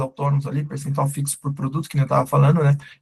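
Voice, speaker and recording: A dark, mellow tone carries this somewhat breathy voice. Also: man. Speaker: startup CEO and co-founder presenting a webinar. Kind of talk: webinar lecture. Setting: live online webinar with chat. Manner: casual, informal.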